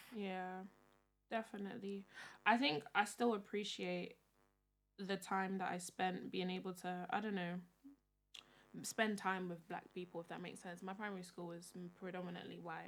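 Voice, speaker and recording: Pausing long and often, a woman at a medium pitch speaks at a moderate pace with fairly even intonation and big swings in loudness. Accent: London. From London (North and North West). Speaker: podcast host. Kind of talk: casual chat.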